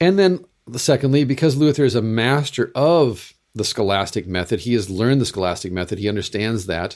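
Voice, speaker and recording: In an unremarkable speaking voice, someone talks at a fairly quick pace with lively intonation, in a very clean recording with a silent background. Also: man, medium pitch for a man. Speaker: Lutheran pastor and podcast host. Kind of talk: casual chat.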